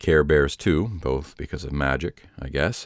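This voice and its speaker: A man with an American accent talks at a moderate pace. His very deep, low pitch carries vocal fry and ordinary pitch variation. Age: 30s. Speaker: podcaster telling personal story. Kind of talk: scripted narration. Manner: formal.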